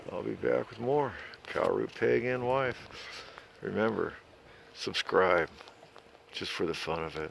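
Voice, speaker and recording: Noticeable background noise sits behind this fairly slow speech. The pauses are long and frequent. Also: man. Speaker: RV travel vlogger. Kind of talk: casual vlog narration. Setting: outdoors. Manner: soft-spoken.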